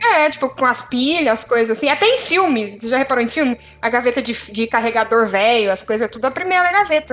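A woman talks at a very fast pace in a high voice, her intonation lively and her tone animated. Noticeable background noise runs under her speech. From Brazil, São Paulo. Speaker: podcast co-host. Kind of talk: casual chat.

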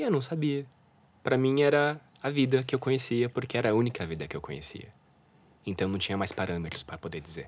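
A man speaks at a very fast pace broken by long, frequent pauses. His medium pitch swings very widely. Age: 30s. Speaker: illustrator and art director. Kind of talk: interview about mental health.

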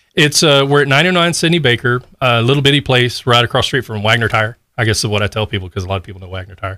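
A man at medium pitch races along at a very fast pace with hardly any pauses, using lively intonation, a bright, sharp tone and big swings in loudness, on a very clean recording with a silent background. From Texas, Pearland near Houston. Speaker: music store owner. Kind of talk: casual interview. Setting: studio.

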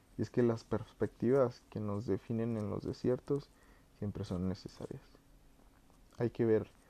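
A man with a fairly low pitch, a dark, mellow tone and a moderate pace. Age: 20s. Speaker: podcast host. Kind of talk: personal reflective monologue. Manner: halting.

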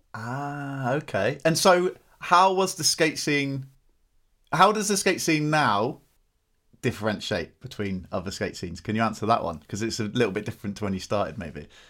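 Using vocal fry and very wide pitch swings, a man at medium pitch speaks in a bright, sharp tone. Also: moderate pace. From Britain. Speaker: podcast host. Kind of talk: casual chat; scripted podcast outro.

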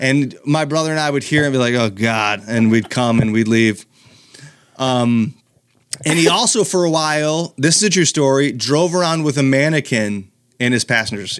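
This man has an American accent and an ordinary speaking voice. He talks at a medium pitch and a moderate pace with lively intonation. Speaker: comedian. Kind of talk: casual chat.

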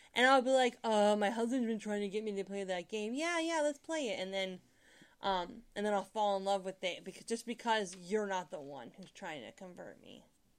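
A woman with a normal speaking voice and medium pitch talks at a moderate pace, her intonation lively and her loudness swinging widely. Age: 30s. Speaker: host's wife, non-gamer. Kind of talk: casual chat.

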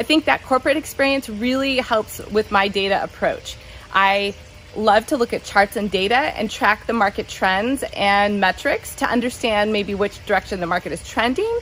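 Here a woman speaks in a Californian accent with a fairly high pitch. Her pace is moderate, with ordinary pitch variation. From Southern California. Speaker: realtor. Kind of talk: self-introduction monologue.

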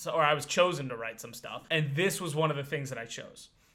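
A man's fairly high pitch with ordinary pitch variation, plus noticeable background noise. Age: 20s. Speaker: podcast co-host. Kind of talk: casual chat.

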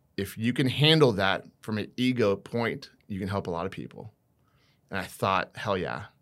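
Recorded very cleanly against a silent background, a man speaks in an ordinary speaking voice with an American accent. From US Midwest, Iowa. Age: 30s. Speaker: sports therapist. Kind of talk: casual chat.

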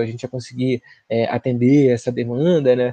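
A man talks at a moderate pace in a dark, mellow tone. The sound is dry and close, with no echo. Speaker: podcast co-host. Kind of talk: casual political discussion. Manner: calm.

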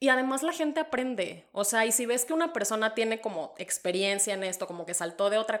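With lively intonation, a woman talks in a normal speaking voice. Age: 30s. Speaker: podcast co-host. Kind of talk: casual chat.

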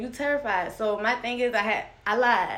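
There is audible room echo as a woman speaks at a fairly high pitch with ordinary variation. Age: 20s. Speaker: guest sharing abuse story. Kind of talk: testimony. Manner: halting.

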